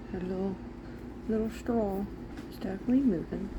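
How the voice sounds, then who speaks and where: A woman talks at a moderate pace while noticeable background noise carries on around her. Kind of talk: casual talk to camera.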